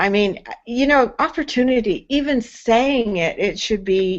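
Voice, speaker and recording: Here a woman speaks at a fairly high pitch. She goes at a very slow pace. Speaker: online hangout host. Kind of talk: live video chat. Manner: halting, with fillers.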